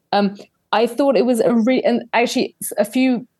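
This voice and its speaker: The speaker has a London accent. The tone is dark and mellow. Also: woman. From London, England. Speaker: investigative journalist and podcaster. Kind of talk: casual interview chat. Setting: video call.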